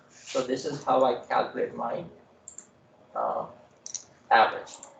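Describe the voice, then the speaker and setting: A man talks at a fairly slow pace, with audible room echo around him. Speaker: programming instructor. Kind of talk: lecture.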